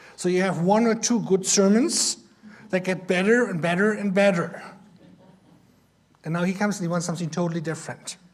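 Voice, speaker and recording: Speaking at a fairly quick pace with a German accent, a man with a high pitch shows ordinary pitch variation and takes long, frequent pauses. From Germany. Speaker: missionary. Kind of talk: Sunday school lesson.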